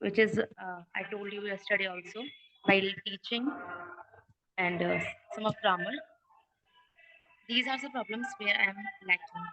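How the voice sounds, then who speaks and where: A woman's bright, sharp tone at a fairly slow pace, in a dry, close sound with no echo. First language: not English. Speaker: student in an English speaking class who is a teacher. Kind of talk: online class discussion. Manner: halting.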